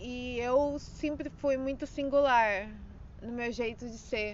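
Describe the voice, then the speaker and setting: In a room with audible echo, a woman speaks at a very slow pace in a high pitch with fairly even intonation. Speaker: personal audio diarist. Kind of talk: personal storytelling monologue. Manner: frequent laughter; halting.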